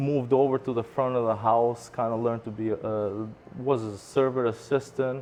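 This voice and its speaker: A man speaks at medium pitch with a non-native accent. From immigrant to US at 14, Michigan. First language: not English. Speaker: restaurant owner. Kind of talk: interview. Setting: restaurant.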